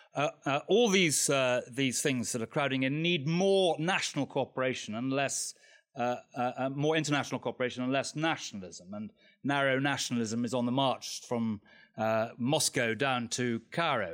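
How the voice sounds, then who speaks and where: A man speaks at a moderate pace in medium pitch with ordinary pitch variation. It is an ordinary speaking voice, on a very clean recording with a silent background. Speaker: politician. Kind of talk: panel debate.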